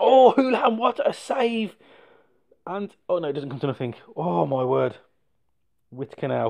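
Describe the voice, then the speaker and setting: A man's high voice in an English accent, with very wide pitch swings and long, frequent pauses. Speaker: gaming YouTuber. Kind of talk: game commentary. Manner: fast; animated.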